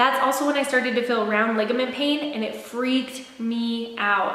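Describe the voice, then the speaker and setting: At a fairly slow pace, a high-pitched woman speaks amid audible room echo and noticeable background noise. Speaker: lifestyle vlogger. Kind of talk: casual chat. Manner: rambling with fillers.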